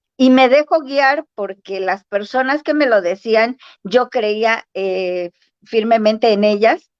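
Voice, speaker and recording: A woman speaks at a very slow pace with ordinary pitch variation, her voice recorded with a dry, close sound and no echo. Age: 60s. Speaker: spiritual practitioner guest. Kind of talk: casual interview chat. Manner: halting, many fillers.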